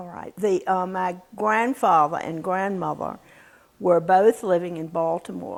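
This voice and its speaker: An unremarkable speaking voice, a woman at medium pitch with ordinary pitch variation, an American accent, and a fairly slow pace. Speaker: interviewee recalling family history. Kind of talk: oral history interview answer, reminiscing.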